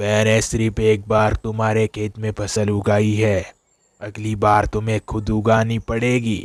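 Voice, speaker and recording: A man does a cartoonish character voice at a fairly low pitch. The delivery is fairly slow, with monotone, flat intonation. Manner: calm, reassuring.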